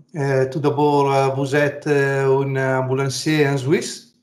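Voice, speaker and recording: A very slow man's voice at a fairly high pitch, with audible room echo. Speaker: interviewer. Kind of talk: interview. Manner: halting, many hesitations.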